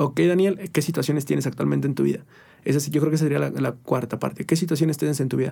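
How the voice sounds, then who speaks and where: A man talks at a very fast pace in a dark, mellow tone, fairly high in pitch, with vocal fry and ordinary pitch variation. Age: 20s. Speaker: nutritionist. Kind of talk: casual chat.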